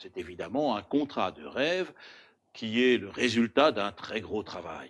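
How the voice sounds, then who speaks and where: A man of medium pitch talks with an Alsatian accent. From Alsace, France. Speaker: insurance broker, company founder. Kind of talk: prepared address to camera. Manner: formal.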